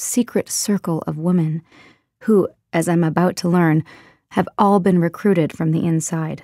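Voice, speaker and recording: In a very clean recording with a silent background, a woman speaks at a fairly low pitch with a dark, mellow tone and fairly even intonation, the sound dry and close with no echo. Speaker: voice actor. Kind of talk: audiobook narration.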